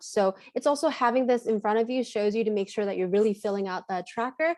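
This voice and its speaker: Her pitch is fairly high, with ordinary variation. The woman speaks at a fairly quick pace. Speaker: clinical trainer. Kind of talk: training webinar. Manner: fast; animated.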